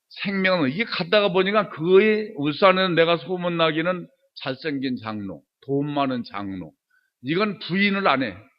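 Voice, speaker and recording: Lively intonation marks this man's high-pitched voice. He talks at a moderate pace. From Chungcheong, Korea. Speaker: church elder, lay speaker. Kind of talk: testimony sermon. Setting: church service. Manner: animated.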